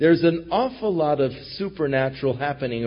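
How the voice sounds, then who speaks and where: A man speaks at a fairly quick pace, his intonation lively. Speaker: pastor. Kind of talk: sermon. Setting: church.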